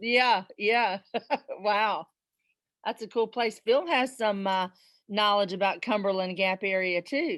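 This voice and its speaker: In a strong Southern US accent, the speech moves at a very slow pace with long, frequent pauses. Pitch variation is ordinary, and the background is quiet. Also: woman, medium pitch for a woman. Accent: Southern accent, still strong after 25 years. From South Carolina. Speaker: presenter. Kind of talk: casual chat.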